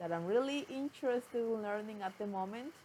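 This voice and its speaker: Lively in intonation, a woman with a Spanish accent talks at a moderate pace in a fairly high pitch. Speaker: vlogger, language learner. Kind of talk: casual talk to camera. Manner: halting.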